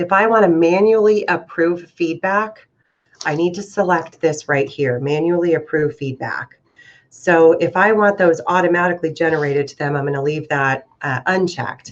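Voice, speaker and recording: A woman with a normal speaking voice talks at a moderate pace, her pitch fairly low with ordinary pitch variation. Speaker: real estate software trainer. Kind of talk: tutorial. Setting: video call.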